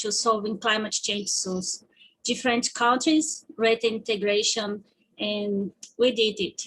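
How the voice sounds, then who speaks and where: In a Portuguese accent, a woman with a fairly high pitch speaks at a fairly slow pace with fairly even intonation. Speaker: student presenter. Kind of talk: presentation.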